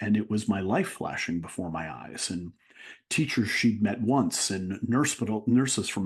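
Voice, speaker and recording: This man has an ordinary speaking voice with a fairly low pitch and ordinary pitch variation. He keeps a moderate pace against a quiet background. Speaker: motivational speaker. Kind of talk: interview answer.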